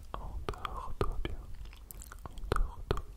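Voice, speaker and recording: Whispering in a soothing tone, the speaker goes at a very slow pace. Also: man. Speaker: ASMR creator. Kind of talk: soft whispered ASMR talk. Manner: soothing whisper, muffled by hands. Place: home room. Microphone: studio mic.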